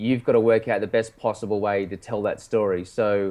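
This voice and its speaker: A man speaks at a moderate pace with an Australian accent and fairly even intonation. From Australia, Sydney. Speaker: film director and writer. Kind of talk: casual interview.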